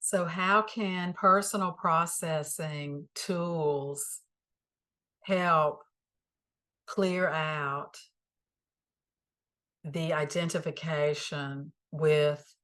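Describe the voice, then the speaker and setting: With a Southern US accent, a woman speaks at a very slow pace in a very deep, low pitch and a bright, sharp tone, her intonation fairly even and her long pauses frequent against a quiet background. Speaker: spiritual teacher. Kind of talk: spiritual teaching talk. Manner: calm, reflective.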